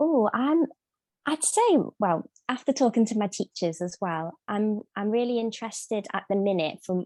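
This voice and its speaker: In a Scouse accent, a woman speaks at a moderate pace with a dark, mellow tone. The sound is dry and close with no echo, over a quiet background. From Liverpool, England. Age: 20s. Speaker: singer. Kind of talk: interview. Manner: halting.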